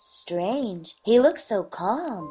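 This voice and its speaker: A woman puts on a character voice with a fairly high pitch. Faint music plays in the background. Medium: short film. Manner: chiding.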